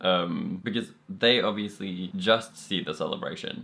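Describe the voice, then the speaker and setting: A man speaks with a Norwegian accent at a medium pitch and a fairly slow pace. His pitch swings very widely. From Norway. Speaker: podcast guest. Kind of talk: casual chat.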